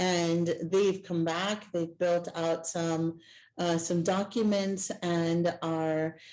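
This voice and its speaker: A woman with a Spanish accent speaks at a very slow pace in a fairly low pitch. Her intonation is monotone and flat, and her loudness stays very even. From El Salvador. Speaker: Native community nonprofit worker. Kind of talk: panel discussion.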